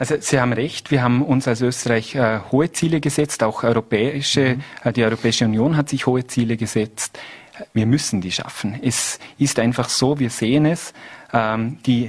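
Moderate pace and fairly even intonation in an ordinary speaking voice. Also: man. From Austria, Vorarlberg (Lustenau). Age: 30s. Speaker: politician. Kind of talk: TV interview. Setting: studio.

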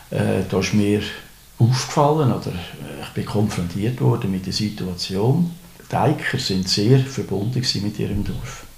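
Amid noticeable background noise and audible room echo, a man with a fairly low pitch speaks at a fairly slow pace with lively intonation. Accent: Aargau. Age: 60s. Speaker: retired municipal clerk. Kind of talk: interview. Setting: indoors overlooking a pond. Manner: halting, many fillers.

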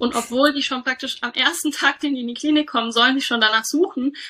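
A woman's raised, projected voice, high in pitch with a bright, sharp tone, ordinary pitch variation and a fairly quick pace. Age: 30s. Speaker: doctor and startup founder. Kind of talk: interview.

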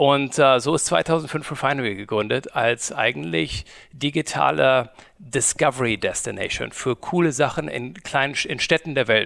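The speaker talks at a moderate pace with lively intonation. Vocal fry runs through the voice. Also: man, medium pitch for a man. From Germany, Cologne. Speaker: media company founder. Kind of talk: interview. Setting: studio. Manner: halting.

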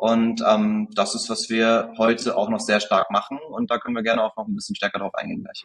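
The voice belongs to a man. He talks at a fairly quick pace. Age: 20s. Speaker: marketing agency founder. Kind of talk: interview conversation.

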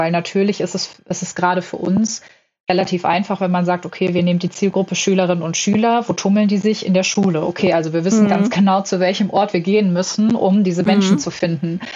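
Somewhat breathy, this woman's voice sits at a medium pitch. She talks at a fairly quick pace in a monotone, flat intonation. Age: 20s. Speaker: management consultant. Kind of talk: podcast interview.

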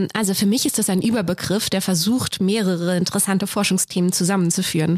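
A woman talks at a moderate pace and a medium pitch, her sound dry and close with no echo. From Germany, southern Hesse near Darmstadt. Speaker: machine learning researcher. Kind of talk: interview. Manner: hesitant, many fillers.

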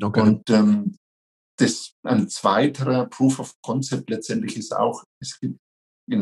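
A man speaks with a Franconian accent at a very slow pace. His intonation is fairly even. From Franconia, near Nuremberg. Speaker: franchise company executive. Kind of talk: interview.

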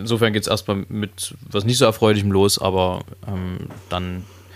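The man speaks at a very slow pace. His fairly low voice stays monotone and flat. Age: 20s. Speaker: podcast co-host, singer. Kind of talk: casual chat.

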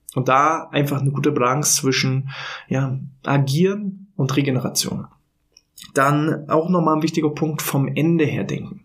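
A somewhat breathy man's voice, fairly high in pitch, with fairly even intonation at a moderate pace. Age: 30s. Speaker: podcast host on workplace health management. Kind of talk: solo podcast monologue. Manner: casual with filler words.

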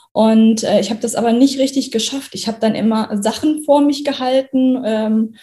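Somewhat breathy, a woman speaks at a fairly quick pace with a fairly high pitch and fairly even intonation. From Germany, Kassel (Hesse). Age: 30s. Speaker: trainee teacher. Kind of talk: testimony.

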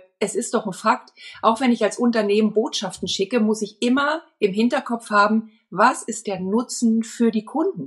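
This woman's voice sits at a fairly high pitch and sounds somewhat breathy. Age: 50s. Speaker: marketing expert and dance school owner. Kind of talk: podcast interview.

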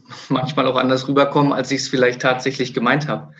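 Noticeable background noise sits behind a man's voice. He speaks at a medium pitch in a flat, monotone way. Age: 30s. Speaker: sports club director and coach. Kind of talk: interview.

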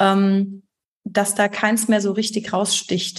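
A woman speaks with a somewhat breathy voice. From Germany, Heidelberg. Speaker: graphic designer and art director. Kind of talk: podcast interview.

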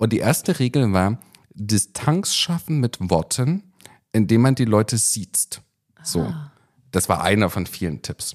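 Very wide pitch swings mark this man's medium-pitched voice as he speaks at a fairly slow pace. Long, frequent pauses break up his speech on a very clean recording with a silent background. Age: 40s. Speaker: podcast co-host, TV producer. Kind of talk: casual chat.

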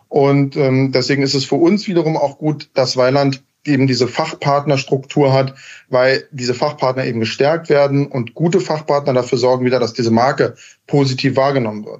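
A man with a fairly high pitch uses an ordinary speaking voice, talking at a moderate pace with fairly even intonation. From Berlin, Germany. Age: 30s. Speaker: heating company founder and master installer. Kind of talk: podcast interview. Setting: remote call.

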